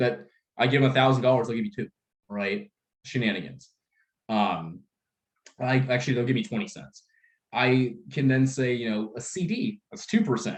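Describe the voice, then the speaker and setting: A man speaks at a medium pitch and moderate pace, somewhat breathy, with very wide pitch swings. He leaves long, frequent pauses. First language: Russian. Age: 20s. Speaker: life insurance sales trainer. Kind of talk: sales training workshop. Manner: animated.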